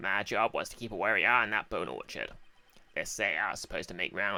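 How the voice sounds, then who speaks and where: Putting on a character voice, a man rattles along at a very fast pace with a fairly low pitch. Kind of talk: folksy, old-West phrasing.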